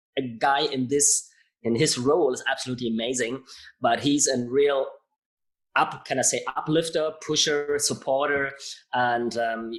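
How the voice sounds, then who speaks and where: A man speaks with a German accent at a moderate pace. His pitch is fairly high, and his intonation is fairly even. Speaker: podcast host. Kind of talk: interview. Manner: halting.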